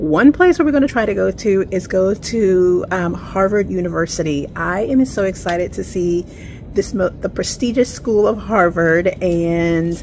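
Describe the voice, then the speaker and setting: Light background noise can be heard. A woman speaks at a fairly slow pace. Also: ordinary pitch variation. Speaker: travel vlogger. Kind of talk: casual vlog chat. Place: street. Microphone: phone near.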